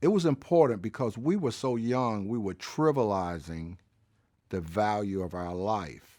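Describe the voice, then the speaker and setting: In a Southern US accent, a man speaks at a fairly slow pace with a fairly low pitch, lively intonation and a dark, mellow tone, on a very clean recording with a silent background. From Birmingham, Alabama. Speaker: civil rights era witness. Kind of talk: interview answer.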